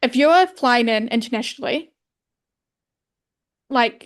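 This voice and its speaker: Lively intonation marks this woman's high voice, heard in a New Zealand accent. The background is quiet. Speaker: podcast co-host, photographer. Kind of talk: casual chat.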